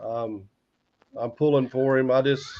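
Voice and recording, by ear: The delivery moves at a fairly slow pace with fairly even intonation. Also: man, medium pitch for a man.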